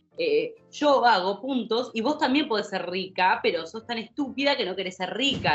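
A woman talks with a Rioplatense accent. Her pitch swings very widely. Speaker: podcast co-host. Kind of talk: casual chat.

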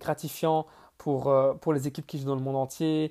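Speaking very slowly, a man uses a fairly high pitch and monotone, flat intonation. The recording is very clean with a silent background. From Belgium. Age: 20s. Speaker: entrepreneur and podcast host. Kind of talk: monologue. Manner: halting, frequent repetitions.

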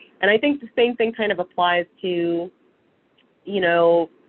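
The pitch variation is ordinary. It belongs to an ordinary speaking voice. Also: woman. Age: 30s. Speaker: farmer and seed saver. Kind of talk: interview. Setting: remote call. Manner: casual with many fillers.

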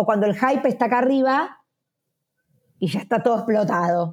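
A woman with a plain, everyday voice speaks at a fairly high pitch and a fairly quick pace. Her intonation is lively, and the recording is very clean with a silent background. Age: 40s. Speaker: media personality and startup founder. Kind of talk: interview.

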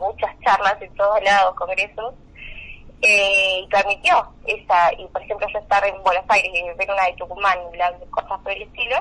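Medium pitch, fairly even intonation and a moderate pace in a woman's normal speaking voice. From Argentina, Valle Medio, Río Negro. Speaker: law student and student union president. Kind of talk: radio interview.

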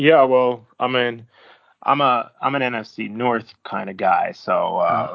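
A man with a New Jersey accent speaks at a very slow pace. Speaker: guest fantasy football player. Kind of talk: casual chat.

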